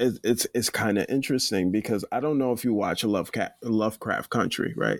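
A man with an American accent uses a normal speaking voice at a medium pitch, with ordinary pitch variation and a fairly quick pace. His loudness is very even, and the very clean recording has a silent background and a dry, close sound with no echo. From US (Nigerian-born, raised in America from age three). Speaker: photographer. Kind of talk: casual chat.

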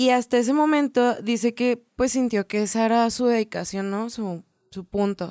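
On a very clean recording with a silent background and a dry, close sound with no echo, a woman speaks at a moderate pace in a fairly high voice with a dark, mellow tone and ordinary pitch variation. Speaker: podcast co-host. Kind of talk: casual chat.

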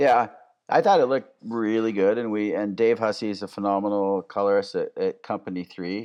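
Here is a plain, everyday voice at a fairly quick pace. The background is quiet. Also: man, fairly low pitch for a man. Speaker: cinematographer. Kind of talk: interview conversation.

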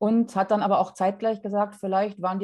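A woman's dark, mellow voice at a very fast pace against a quiet background. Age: 40s. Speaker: podcast guest sharing fertility story. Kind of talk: personal testimony in interview.

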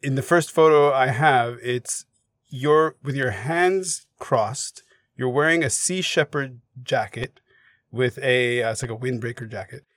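A man speaks in a plain, everyday voice with a Canadian accent, at a medium pitch and a fairly slow pace. His pitch varies in an ordinary way, and the sound is dry and close with no echo. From Canada, Montreal. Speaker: podcast host. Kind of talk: interview.

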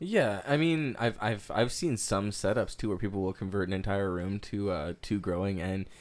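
Speaking at a moderate pace, a man with a fairly low pitch has an ordinary speaking voice. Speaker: podcast co-host. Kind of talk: casual chat.

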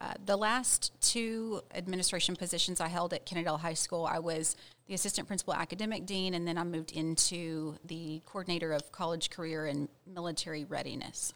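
A woman with an American accent talks in a normal speaking voice at a fairly low pitch. She speaks at a fairly quick pace with hardly any pauses and fairly even intonation. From Texas, Ranger (rural West-Central Texas). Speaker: school principal. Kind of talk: interview.

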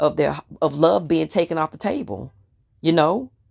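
A woman with a very deep, low pitch and vocal fry speaks at a moderate pace. Her tone is animated, her intonation lively, and the recording very clean with a silent background. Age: 30s. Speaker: podcast host. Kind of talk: casual monologue.

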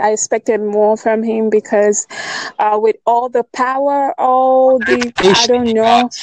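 A woman with a Nigerian accent, a fairly high pitch, ordinary pitch variation and a fairly slow pace, in a dry, close sound with no echo. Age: 20s. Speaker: writer. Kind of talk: casual chat.

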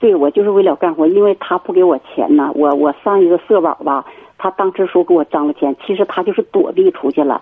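A woman's fairly quick speech, with ordinary pitch variation, plays against noticeable background noise. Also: medium pitch for a woman. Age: 50s. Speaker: radio call-in caller. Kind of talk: call-in chat about marriage problems.

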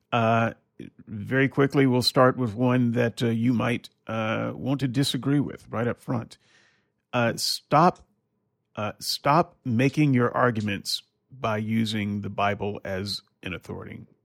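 With an unremarkable speaking voice and ordinary pitch variation, the speaker goes at a fairly slow pace in a very clean recording with a silent background and a dry, close sound with no echo. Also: man, medium pitch for a man. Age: 50s. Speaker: podcast host, former preacher. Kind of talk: casual chat.

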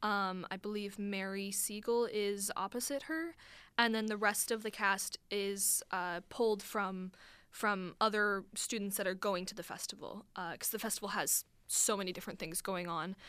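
Speaking with a Midwestern American accent, a woman uses a medium pitch and fairly even intonation at a moderate pace. Her tone is bright and sharp, and the recording is very clean, with a silent background. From US Midwest, northern Illinois. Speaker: college student and playwright. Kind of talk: radio interview. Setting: radio studio.

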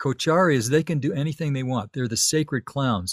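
A man with an American accent and a plain, everyday voice speaks at a moderate pace and fairly high pitch, with a dry, close sound and no echo. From US Southwest, Tucson, Arizona. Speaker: ambient musician and film composer. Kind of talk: casual interview conversation. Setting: remote interview from his home studio.

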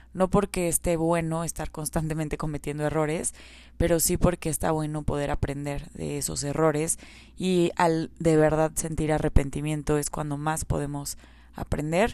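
In a very clean recording with a silent background, a woman speaks at a moderate pace in a very deep, low, dark and mellow voice. Her intonation is monotone and flat. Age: 30s. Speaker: podcast host on self-discipline. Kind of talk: solo podcast monologue.

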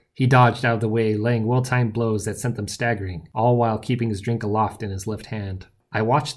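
The intonation is fairly even. An unforced reading voice carries the clip.

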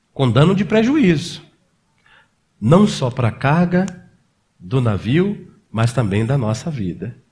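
A somewhat breathy man at a very slow pace, fairly high-pitched, with very wide pitch swings and long, frequent pauses. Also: very clean recording, silent background. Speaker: pastor. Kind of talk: sermon.

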